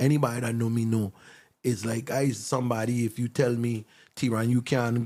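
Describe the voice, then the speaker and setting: The speaker talks at a fairly quick pace with a Virgin Islands accent and fairly even intonation. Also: man. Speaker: songwriter. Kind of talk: casual chat.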